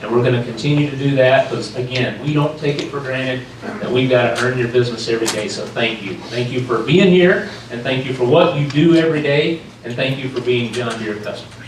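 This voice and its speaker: A man talks at a fairly quick pace. There's audible room echo and noticeable background noise. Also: medium pitch for a man, ordinary pitch variation. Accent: North Carolina. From North Carolina, US South. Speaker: sales executive, keynote speaker. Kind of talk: keynote address. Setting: stage with audience. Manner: animated, passionate.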